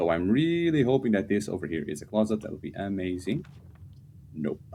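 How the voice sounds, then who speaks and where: A man with a non-native accent talks at a very fast pace in a dark, mellow tone and a fairly low pitch. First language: not English. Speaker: game streamer. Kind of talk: gameplay commentary.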